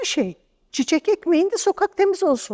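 Against a quiet background, a woman's voice swings very widely in pitch. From eastern Turkey, Erzincan; Turkey. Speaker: translator and storyteller; bookseller, storyteller. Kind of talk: interview. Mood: critical, earnest. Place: studio. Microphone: lapel.

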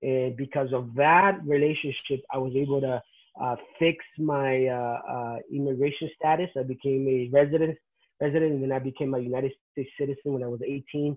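Against a quiet background, a man with a Spanish accent talks at a moderate pace with a fairly high pitch and fairly even intonation. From Nicaragua. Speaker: pastor; interviewee. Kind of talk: testimony; interview answer. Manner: halting. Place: home room. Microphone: video call.

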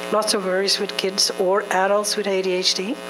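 Her speech is very slow. Noticeable background noise sits beneath this woman's voice. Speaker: ADHD support group organizer. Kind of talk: community meeting presentation. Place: meeting room. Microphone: handheld.

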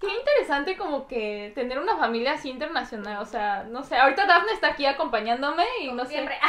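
With a Mexican accent, a woman speaks at a very fast pace with hardly any pauses, her high pitch making very wide swings. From Mexico. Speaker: YouTuber; channel host interviewer. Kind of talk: casual interview. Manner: animated. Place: home room. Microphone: lapel.

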